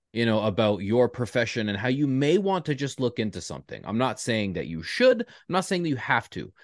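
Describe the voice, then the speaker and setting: In a Canadian accent, a man with a normal speaking voice talks at a moderate pace with lively intonation over a quiet background. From Toronto area, Canada. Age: 30s. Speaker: podcast host. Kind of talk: casual interview.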